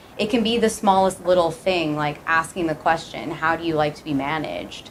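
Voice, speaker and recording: Noticeable background noise sits behind this woman. She talks at a fairly quick pace with a fairly low pitch. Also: ordinary pitch variation. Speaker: startup co-founder. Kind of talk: presentation to class.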